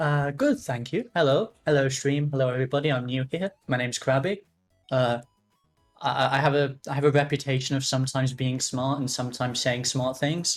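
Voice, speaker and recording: With music in the background, a man talks at a fairly quick pace in a medium pitch and fairly even intonation. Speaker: esports caster. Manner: fast talker.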